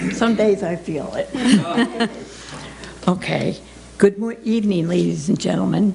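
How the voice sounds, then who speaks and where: Over noticeable background noise, a woman talks at a fairly slow pace with long, frequent pauses. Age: 60s. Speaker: mental health advocate. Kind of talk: testimony. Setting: legislature meeting.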